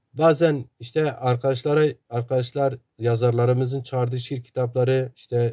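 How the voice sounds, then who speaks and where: The voice is somewhat breathy with a dark, mellow tone, in an Eastern Anatolian accent. Its pitch shows ordinary variation. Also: man. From eastern Turkey, Sarcan (Zaza area). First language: Zazaki (speaking Turkish). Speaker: Zaza activist and author. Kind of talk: interview talk.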